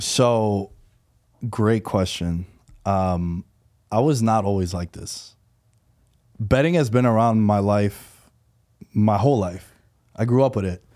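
A man with a New York accent, fairly low in pitch with ordinary variation and a dark, mellow tone, very slow with long, frequent pauses, on a very clean recording with a silent background. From New York City, Queens. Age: 30s. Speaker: professional sports bettor and podcaster. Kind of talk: casual interview. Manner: animated.

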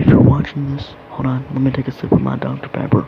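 A man with an American accent speaks at a fairly high pitch. Noticeable background noise runs beneath him. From United States. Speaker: youtuber. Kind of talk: casual monologue. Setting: in bed.

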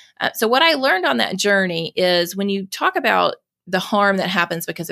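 A woman with a Southern US accent talks at a fairly quick pace in a medium pitch, her tone bright and sharp with lively intonation. The sound is dry and close with no echo, in a very clean recording with a silent background. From US South, Mississippi. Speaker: nonprofit executive director and foster parent. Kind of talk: interview conversation.

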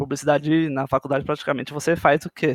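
A man with an ordinary speaking voice talks at a moderate pace and a fairly high pitch, in a very clean recording with a silent background and a dry, close sound with no echo. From Brazil, São Paulo. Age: 20s. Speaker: motion designer. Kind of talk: casual chat.

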